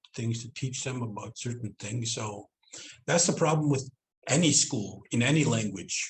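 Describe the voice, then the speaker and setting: A man talks at medium pitch with ordinary pitch variation. His voice is somewhat breathy. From Southend, Reindeer Lake, northern Manitoba/Saskatchewan Cree community. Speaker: Cree language teacher and educator. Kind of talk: online presentation / interview talk.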